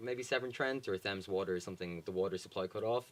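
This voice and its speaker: In a Dublin accent, a man speaks at a very deep, low pitch. His intonation is fairly even. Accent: Dublin Irish. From Ireland, Dublin. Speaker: charity worker. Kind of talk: interview.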